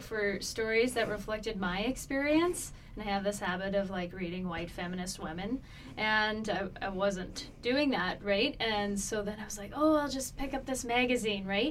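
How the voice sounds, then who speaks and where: A woman's fairly high voice at a moderate pace over noticeable background noise. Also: ordinary pitch variation. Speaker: interview show host. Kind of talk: interview.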